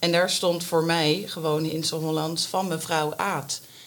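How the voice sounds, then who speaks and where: Noticeable background noise accompanies a woman whose fairly low voice stays monotone and flat. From Scheveningen, Netherlands. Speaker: primary school teacher and amateur actor. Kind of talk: casual chat.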